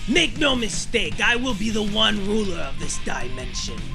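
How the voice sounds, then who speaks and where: Loud music plays behind a man doing a cartoonish character voice at a high pitch. He keeps a moderate pace. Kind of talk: anime fan dub. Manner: menacing, taunting.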